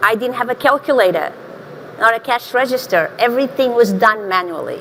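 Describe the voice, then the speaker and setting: With a Portuguese accent, a woman speaks at a high pitch with ordinary pitch variation. Noticeable background noise runs behind her. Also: fairly quick pace. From Portugal, small village. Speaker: marketing executive, panelist. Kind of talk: panel discussion.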